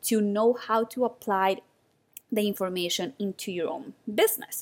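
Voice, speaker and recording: A woman speaks at a moderate pace with a non-native accent and ordinary pitch variation. The recording is very clean, with a silent background. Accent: foreign-accented English. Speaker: podcast host and photography business mentor. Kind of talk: solo podcast monologue.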